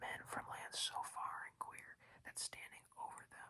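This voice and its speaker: A whisper moves fairly slowly while noticeable background noise carries on. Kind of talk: audiobook reading. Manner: whispered, soft-spoken.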